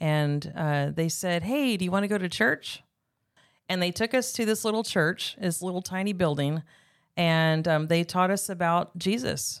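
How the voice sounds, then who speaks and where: In a normal speaking voice, a woman with an American accent talks at a moderate pace, her fairly low pitch showing ordinary pitch variation. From California, Bakersfield countryside. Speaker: guest sharing personal testimony. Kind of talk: testimony.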